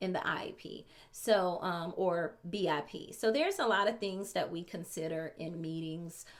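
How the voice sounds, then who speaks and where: Using an ordinary speaking voice, a woman talks at a medium pitch, her pitch varying normally. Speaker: special education teacher. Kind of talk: tutorial. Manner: casual with many fillers.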